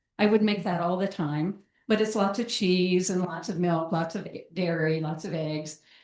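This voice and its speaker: Audible room echo surrounds a woman talking at a moderate pace with fairly even intonation. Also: medium pitch for a woman. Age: 70s. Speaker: psychologist. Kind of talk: lecture. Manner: halting.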